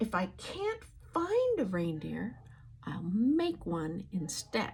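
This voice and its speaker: A put-on, growling character voice at a very slow pace, with light background noise. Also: woman. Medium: read story. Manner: snarling, sneering.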